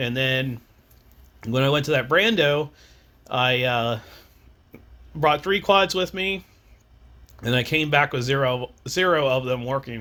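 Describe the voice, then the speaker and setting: A man speaks in a fairly high pitch with a bright, sharp tone and ordinary pitch variation. His pace is fairly slow, with long, frequent pauses. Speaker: FPV drone pilot vlogger. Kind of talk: casual vlog monologue. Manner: halting, many fillers and restarts.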